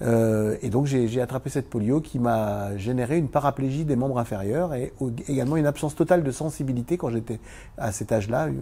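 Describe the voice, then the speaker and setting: A man's somewhat breathy voice at medium pitch, dark and mellow in tone, at a fairly quick pace. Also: ordinary pitch variation. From eastern France (Vosges). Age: 60s. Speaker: former Paralympic table tennis champion and business owner. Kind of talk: interview. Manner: hesitant, many fillers.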